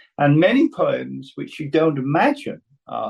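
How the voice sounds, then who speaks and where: A man with a Welsh accent talks at a very slow pace. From Wales. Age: 70s. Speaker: playwright and poet. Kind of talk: talk with Q&A on writing. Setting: video call.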